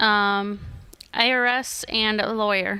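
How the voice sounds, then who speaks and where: A woman with a slight Minnesota accent has a bright, sharp tone. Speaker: debt-free guest. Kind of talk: radio interview. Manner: hesitant, many ums.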